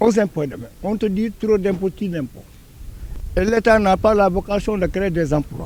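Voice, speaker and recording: With a Senegalese accent, a man speaks at a moderate pace. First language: Wolof (speaking French). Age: 60s. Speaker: senior citizen interviewee. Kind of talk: street interview. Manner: halting, repeats words.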